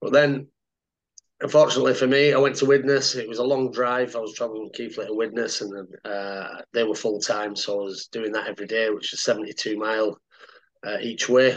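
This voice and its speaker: Fairly quick and fairly even in intonation, a man speaks at a medium pitch. He has a Cumbrian accent. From Cumbria, northern England. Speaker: retired rugby league player. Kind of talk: casual interview.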